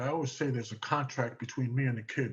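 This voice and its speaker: A man talks fairly quickly with a New York accent. His medium-pitched voice is somewhat breathy, with ordinary pitch variation. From New York City (Manhattan, East Harlem). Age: 70s. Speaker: track and field coach. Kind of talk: radio interview.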